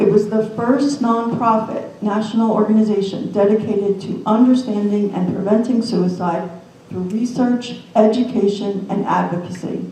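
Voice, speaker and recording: A woman talks at a moderate pace with a medium pitch and fairly even intonation. Audible room echo and noticeable background noise fill the recording. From New Jersey. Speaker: suicide prevention nonprofit representative, suicide loss survivor. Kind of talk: panel presentation.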